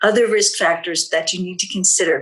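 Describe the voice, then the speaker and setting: A woman's bright, sharp voice at a fairly quick pace. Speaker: health educator. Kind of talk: webinar presentation.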